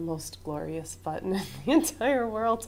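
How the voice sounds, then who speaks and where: Vocal fry runs through speech delivered at a moderate pace. Room echo is audible. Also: woman. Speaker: college instructor. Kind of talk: classroom lecture. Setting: classroom. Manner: loud.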